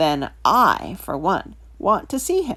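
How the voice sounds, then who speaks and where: A put-on character voice at a middle pitch moves at a very slow pace. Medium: read story.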